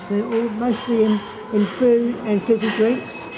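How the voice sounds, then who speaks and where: With a New Zealand accent, a woman speaks at a fairly high pitch over noticeable background noise. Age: 80s+. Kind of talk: interview answer.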